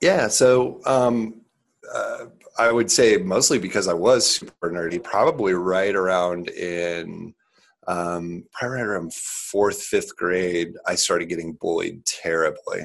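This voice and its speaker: A man speaks with a Midwestern American accent. His pace is fairly slow. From Nebraska, US Midwest. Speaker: startup CEO, former college football player. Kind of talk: interview.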